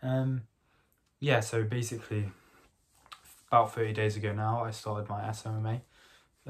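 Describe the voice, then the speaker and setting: A man's fairly low, somewhat breathy voice at a moderate pace, with monotone, flat intonation. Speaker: vlogger documenting agency business; vlogger. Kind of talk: casual vlog. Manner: soft-spoken, talking quietly. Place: home room. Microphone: phone near.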